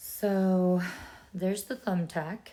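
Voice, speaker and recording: Her pitch is medium and her tone dark and mellow. The woman keeps her intonation fairly even. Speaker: DIY video creator. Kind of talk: tutorial. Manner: casual, chatty.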